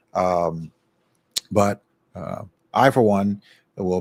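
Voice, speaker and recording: In a very clean recording with a silent background and a dry, close sound with no echo, a man with an American accent speaks in a very deep, low pitch. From Miami, Florida. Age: 60s. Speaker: radio talk show host. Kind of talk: talk show interview. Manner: hesitant, many fillers.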